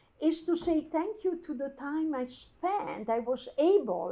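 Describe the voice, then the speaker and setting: A woman with an Italian accent and very wide pitch swings. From Italy. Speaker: architecture curator. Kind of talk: talk to an audience. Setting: archive event with audience. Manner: halting.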